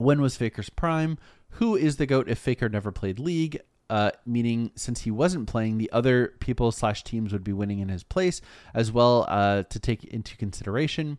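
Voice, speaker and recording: Here is an unremarkable speaking voice. Its intonation is lively. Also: man, medium pitch for a man, moderate pace, quiet background. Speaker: gaming podcast host. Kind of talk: casual chat.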